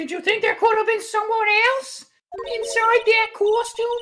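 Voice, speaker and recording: A woman puts on a squeaky character voice at an extremely high pitch. She speaks at a moderate pace with fairly even intonation. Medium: game stream. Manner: smug, condescending.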